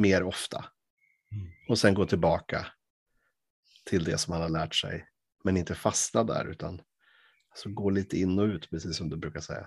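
Over a quiet background, a man with a very deep, low pitch keeps a moderate pace and fairly even intonation, with long, frequent pauses. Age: 40s. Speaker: podcast host. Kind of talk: casual chat.

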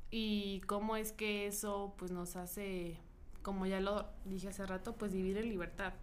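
The voice is monotone, with flat intonation, at a fairly slow pace. Audible room echo can be heard. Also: woman, medium pitch for a woman. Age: 20s. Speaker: podcast co-host. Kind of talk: casual chat. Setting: studio.

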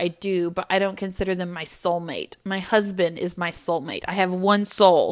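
Over a silent background on a very clean recording, a woman of medium pitch speaks at a fairly slow pace in a bright, sharp tone. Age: 20s. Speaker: podcast host. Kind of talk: casual chat.

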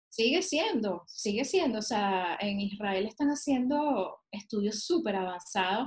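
A woman with a medium pitch and a somewhat breathy voice speaks with lively intonation. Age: 30s. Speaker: cannabis specialist and painter. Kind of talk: casual chat.

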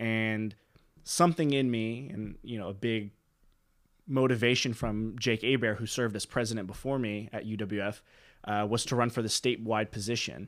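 An ordinary speaking voice with an American accent, fairly even intonation and a moderate pace, in a very clean recording with a silent background. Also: man, medium pitch for a man. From Pensacola, Florida. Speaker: law student and former student body president. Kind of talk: casual interview.

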